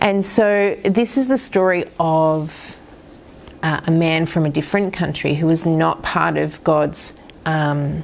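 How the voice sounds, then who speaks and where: A woman speaks with a fairly low pitch and ordinary pitch variation. It is an ordinary speaking voice. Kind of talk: Bible teaching talk.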